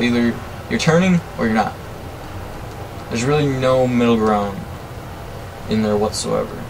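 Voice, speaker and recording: Noticeable background noise and audible room echo surround a man speaking at a moderate pace. His pitch is medium, with ordinary pitch variation. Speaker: gaming youtuber. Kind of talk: gameplay commentary. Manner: casual, hesitant with fillers.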